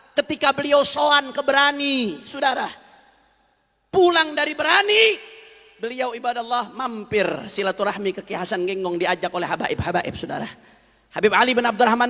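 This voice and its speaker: A man speaks in a raised, projected voice at an extremely high pitch. He talks at a fairly quick pace. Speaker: preacher. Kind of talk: religious sermon, storytelling to an audience.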